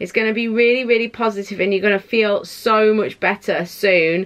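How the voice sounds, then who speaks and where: Ordinary pitch variation comes with a fairly slow pace. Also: woman. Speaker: tarot reader. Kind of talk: pick-a-card reading, casual direct address. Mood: reassuring, warm, some laughter. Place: home room.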